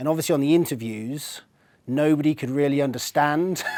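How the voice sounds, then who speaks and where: Here a man talks with an English accent. His pitch is fairly high, with ordinary pitch variation. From England, Swindon. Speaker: technology channel manager. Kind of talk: interview.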